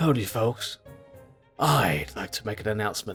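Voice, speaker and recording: Faint music plays in the background as a man does a put-on character voice. He speaks fairly low at a moderate pace. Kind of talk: comic overacting. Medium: game stream. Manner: smooth, confident.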